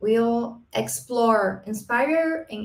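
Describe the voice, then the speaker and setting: A woman's fairly high voice with a Brazilian accent. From Brazil, Paraná. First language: Portuguese. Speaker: marketing professor and business consultant. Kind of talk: conference presentation. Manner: halting, with self-corrections.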